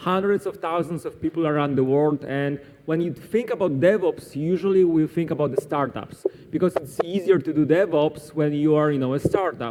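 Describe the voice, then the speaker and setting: A man with a Polish accent talks over noticeable background noise. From Poland. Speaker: cloud solutions architect, conference speaker. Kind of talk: conference talk. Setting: stage with audience at a conference.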